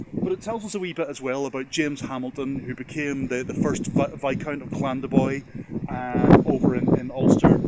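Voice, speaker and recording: Background noise is noticeable as a man talks at a fairly quick pace. His pitch is fairly high, with ordinary variation. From Northern Ireland. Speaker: genealogy video host. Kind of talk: casual educational talk to camera. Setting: on location at a church. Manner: hesitant with fillers and repetitions.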